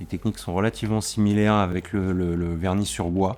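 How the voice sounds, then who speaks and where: His voice sits at a fairly low pitch with a dark, mellow tone. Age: 40s. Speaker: furniture finisher and varnisher. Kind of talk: interview testimony. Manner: hesitant, many fillers and repetitions.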